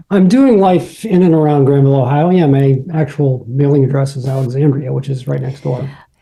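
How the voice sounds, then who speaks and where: A man with a dark, mellow tone and a somewhat breathy sound speaks at a fairly quick pace with hardly any pauses and ordinary pitch variation. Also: fairly high pitch for a man. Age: 50s. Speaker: painter and gallery co-owner. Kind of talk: casual interview.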